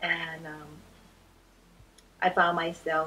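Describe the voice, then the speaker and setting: A woman with a fairly low pitch, music playing in the background. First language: not English. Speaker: retired teacher and author. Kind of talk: interview testimony. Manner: halting.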